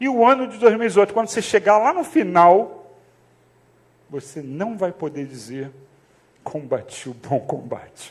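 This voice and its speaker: Delivered at a moderate pace, the speech has very wide pitch swings, big swings in loudness, and long, frequent pauses. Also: man, high pitch for a man. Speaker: pastor. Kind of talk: sermon. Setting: church. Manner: speaking softly to prompt the congregation; casual, conversational.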